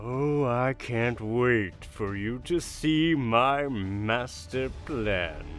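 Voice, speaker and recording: Put-on character voice from a medium-pitched man at a very slow pace, with clear music in the background. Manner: slow, drawn-out, dramatic pauses.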